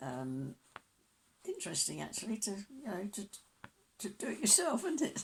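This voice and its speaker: A woman with vocal fry and a medium pitch speaks at a moderate pace, swinging very widely in pitch and leaving long, frequent pauses. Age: old. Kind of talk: interview answer.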